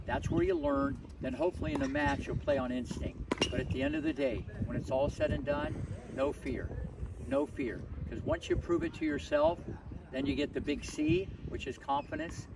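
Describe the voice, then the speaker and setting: A man at a moderate pace, with long, frequent pauses, noticeable background noise and a dry sound with no echo. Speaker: tennis coach. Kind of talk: motivational coaching talk. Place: stadium.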